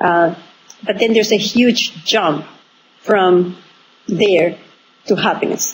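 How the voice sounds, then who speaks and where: A woman with a Spanish accent speaks at a medium pitch with fairly even intonation over noticeable background noise. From Venezuela, small town. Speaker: author and entrepreneurship expert. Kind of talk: interview. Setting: remote call from abroad. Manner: halting, many fillers.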